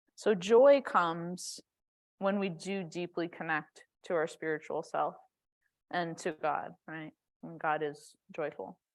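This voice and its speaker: In a very clean recording with a silent background, a woman with a fairly low pitch speaks very slowly, with ordinary pitch variation, big swings in loudness, and long, frequent pauses. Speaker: yoga and meditation teacher. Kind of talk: guided meditation. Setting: church sanctuary. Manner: casual, conversational.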